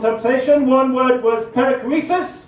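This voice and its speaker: A man with an extremely high pitch talks at a fairly quick pace amid noticeable background noise and audible room echo. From England. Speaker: stand-up comedian. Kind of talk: stand-up. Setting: stage with audience.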